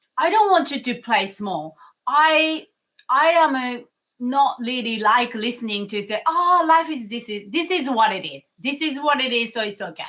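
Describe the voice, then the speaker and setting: In a strong non-native accent, a woman speaks at a moderate pace with a high pitch, lively intonation and a bright, sharp tone. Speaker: mindfulness coach. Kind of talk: motivational talk to camera. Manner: animated.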